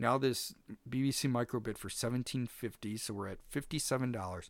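On a very clean recording with a silent background, a man speaks at a fairly quick pace in an unremarkable speaking voice with ordinary pitch variation. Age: 40s. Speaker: podcast host. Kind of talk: casual chat. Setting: home basement studio.

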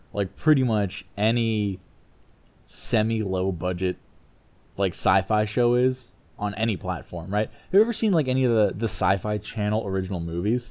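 A man with an ordinary speaking voice, fairly low in pitch, ordinary pitch variation, at a moderate pace, in a very clean recording with a silent background. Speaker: podcast host. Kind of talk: casual comedic banter. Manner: jokey, casual.

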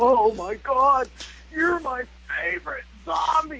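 Light background noise sits under a high-pitched, put-on character voice. It sounds shaky and moves at a fairly slow pace. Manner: trembling, awestruck.

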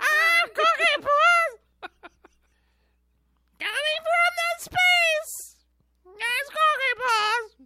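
An extremely high, squeaky put-on character voice moves at a very slow pace with long, frequent pauses. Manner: silly, sing-song.

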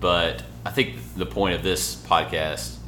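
A man speaks with music playing in the background. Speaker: podcast host. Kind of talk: casual chat. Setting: hotel room recording.

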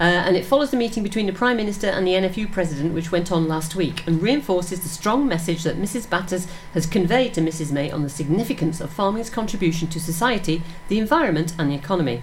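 A woman with a fairly low pitch speaks at a very fast pace with hardly any pauses and lively intonation. Noticeable background noise runs behind her. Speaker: radio presenter. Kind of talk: casual radio chat. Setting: studio.

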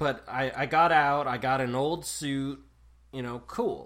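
The man's voice has a bright, sharp tone. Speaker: co-host. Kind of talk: casual chat. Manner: joking.

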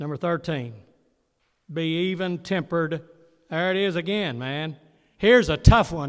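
A man with a high pitch speaks at a moderate pace with ordinary pitch variation. His loudness swings widely, and he takes long, frequent pauses. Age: 80s+. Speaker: pastor. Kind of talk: sermon. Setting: church. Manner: call-and-response questions.

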